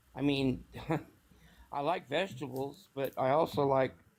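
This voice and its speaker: A man at medium pitch speaks at a fairly slow pace with fairly even intonation. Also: long, frequent pauses. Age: 60s. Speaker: caller on a live stream. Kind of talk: casual chat. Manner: halting.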